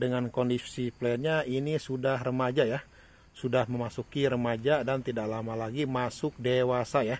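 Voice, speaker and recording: A man speaks in a flat monotone at a medium pitch. The sound is dry, with no echo. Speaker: orchid seller. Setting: video recording in front of a camera, showing plants. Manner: fast, run-on, repetitive patter with 'ya' tags, urging buyers not to wait. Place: garden. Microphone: phone near.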